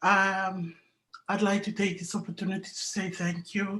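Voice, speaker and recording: A woman with a somewhat breathy voice speaks at a fairly slow pace with fairly even intonation. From Papua New Guinea. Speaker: business network member. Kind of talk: emotional testimony.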